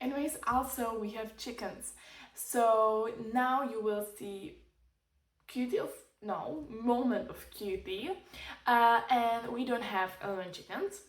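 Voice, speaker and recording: A woman's fairly high voice in a Czech accent, at a very slow pace with long, frequent pauses and audible room echo. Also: ordinary pitch variation, big swings in loudness. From Czech Republic. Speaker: lifestyle vlogger. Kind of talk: casual vlog tutorial. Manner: halting, hesitant non-native phrasing.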